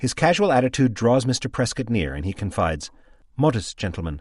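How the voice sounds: This is a natural reading voice. The intonation is lively.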